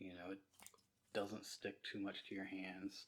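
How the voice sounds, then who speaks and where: A man talks in a Southern US accent, keeping a moderate pace. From US South. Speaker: slime shop owner. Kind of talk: casual chat. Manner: casual, filler-heavy.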